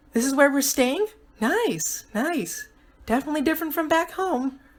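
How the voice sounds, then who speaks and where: Female-sounding put-on character voice, high in pitch, at a moderate pace. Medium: read story.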